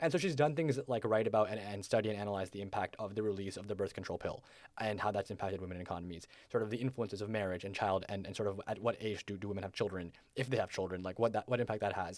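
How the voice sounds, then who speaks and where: Speaking very fast, a man uses a fairly low pitch with ordinary variation. The recording is very clean, the background silent. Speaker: student reporter. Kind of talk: news interview explanation. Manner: hesitant with fillers and repeats.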